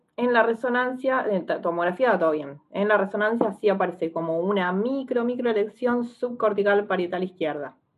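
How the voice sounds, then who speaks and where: A woman talks in a normal speaking voice at medium pitch with ordinary pitch variation. She leaves hardly any pauses. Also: moderate pace. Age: 30s. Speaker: psychologist and stroke patient. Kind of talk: interview testimony.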